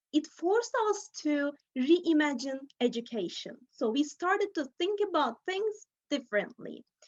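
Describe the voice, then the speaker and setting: A woman with a Turkish accent speaks at a fairly slow pace in a high voice that swings very widely in pitch. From Turkey. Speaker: teacher. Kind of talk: conference talk. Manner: halting.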